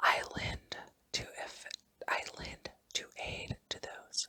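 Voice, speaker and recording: A woman whispers at a very slow pace. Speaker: ASMR hypnosis creator. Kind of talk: whispered hypnosis for relaxation. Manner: whispered, soft, slow.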